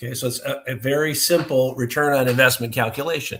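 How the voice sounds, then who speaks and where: A man talks in a plain, everyday voice. His pace is fairly quick. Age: 60s. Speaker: business owner, testing equipment expert. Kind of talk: podcast interview.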